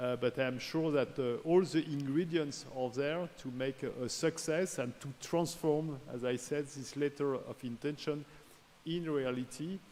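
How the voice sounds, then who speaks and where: A man with a French accent talks fairly slowly, his pitch fairly high. His intonation stays fairly even. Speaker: research organization director. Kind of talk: formal speech. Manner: halting.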